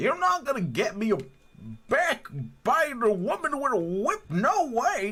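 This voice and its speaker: Doing a put-on character voice, a man speaks at an extremely high pitch in a raised, projected voice, with very wide pitch swings and very even loudness. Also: moderate pace. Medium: virtual streamer. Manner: blunt, casual, keeps calling people "pal".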